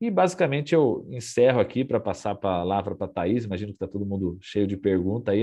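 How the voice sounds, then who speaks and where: A man speaks at a very fast pace. He has a rural São Paulo accent. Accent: São Paulo countryside (caipira). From interior of São Paulo state, Brazil. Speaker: NFT company CEO, workshop speaker. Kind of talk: presentation. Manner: casual, many fillers.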